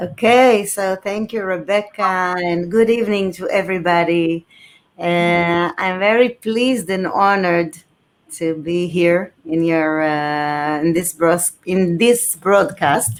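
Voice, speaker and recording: In an Israeli accent, a woman with a fairly low pitch speaks at a very slow pace with ordinary pitch variation. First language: Hebrew. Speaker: author and former journalist. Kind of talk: interview on live stream. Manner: halting.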